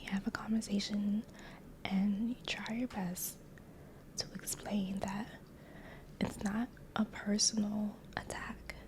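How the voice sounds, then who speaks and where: In a soft-spoken whisper with a gentle tone, someone talks at a very slow pace with long, frequent pauses over noticeable background noise. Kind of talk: ASMR therapist role play, soft-spoken. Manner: soft-spoken, gentle, whispery.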